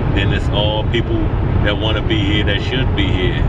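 Loud background noise sits behind a man whose voice is dry, with no echo. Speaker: vlogger. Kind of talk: casual vlog chat. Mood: reflective, determined. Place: car. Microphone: phone near.

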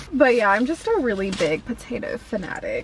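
With a Southern US accent, a woman speaks at a fairly high pitch, the sound dry and free of echo. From US South. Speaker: food vlogger. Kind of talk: casual vlog taste test. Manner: animated. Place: car. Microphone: phone near.

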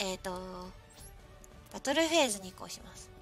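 A woman speaks with very wide pitch swings. Faint music plays in the background. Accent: Kyushu. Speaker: virtual streamer. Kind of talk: casual live-stream gameplay commentary. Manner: upbeat, excitable.

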